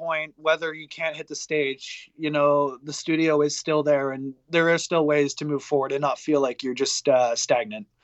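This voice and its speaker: A man with a fairly high pitch at a moderate pace, a plain, everyday voice. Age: 20s. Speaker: metal band musician. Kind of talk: casual interview.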